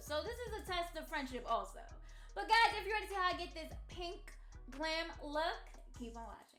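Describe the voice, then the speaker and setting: A woman's extremely high, raised and projected voice at a moderate pace, with very wide pitch swings, big swings in loudness and music in the background. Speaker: makeup artist. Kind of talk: casual talk to camera.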